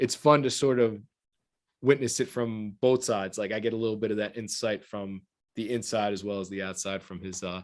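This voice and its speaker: In a fairly low voice, a man speaks at a fairly quick pace with fairly even intonation over a quiet background. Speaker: watch podcast host. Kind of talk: casual chat. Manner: fast.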